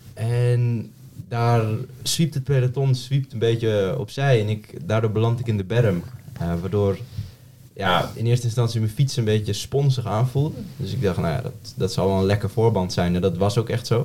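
At a moderate pace, a man speaks in a somewhat breathy, dark, mellow tone with medium pitch and ordinary pitch variation. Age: 20s. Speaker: amateur road cyclist. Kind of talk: casual chat.

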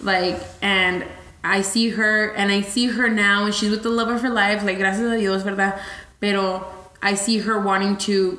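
Moderate pace and fairly even intonation, with noticeable background noise. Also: woman. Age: 20s. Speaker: podcast host. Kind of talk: casual chat.

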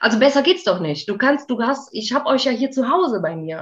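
Speaking at a fairly quick pace, a woman uses vocal fry and very wide pitch swings. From Aachen, western Germany. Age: 30s. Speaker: dog owner. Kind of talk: interview.

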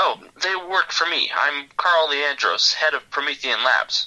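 Putting on a nasal character voice, a man speaks high for a man at a fairly slow pace with fairly even intonation. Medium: read story.

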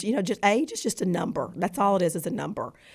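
This woman talks with a Southern US accent and ordinary pitch variation. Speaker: adoptive mother of a football player. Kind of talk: interview.

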